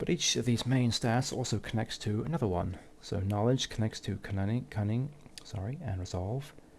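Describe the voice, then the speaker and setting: There's a somewhat breathy quality to this man's speech. His pitch is medium. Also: ordinary pitch variation, moderate pace. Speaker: gaming YouTuber. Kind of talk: gameplay commentary. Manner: halting.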